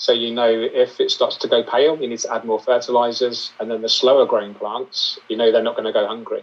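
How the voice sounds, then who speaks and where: Speaking at a fairly quick pace with hardly any pauses, a man has a British accent. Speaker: aquascaper and aquarium YouTuber. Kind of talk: interview.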